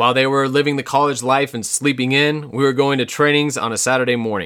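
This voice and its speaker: This man has a normal speaking voice at a medium pitch, with a General American accent. He talks at a fairly quick pace with fairly even intonation. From Colorado, US. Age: 30s. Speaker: podcast host. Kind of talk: personal storytelling monologue.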